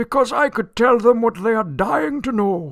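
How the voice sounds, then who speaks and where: A man's put-on character voice, high-pitched, with lively intonation at a moderate pace. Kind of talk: old-fashioned theatrical radio acting. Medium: audio drama. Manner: pompous, blustering, quick to take offence.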